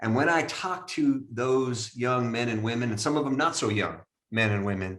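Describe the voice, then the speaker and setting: A man speaks in an unremarkable speaking voice. His intonation is lively. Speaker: university president and podcast host. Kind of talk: casual podcast conversation.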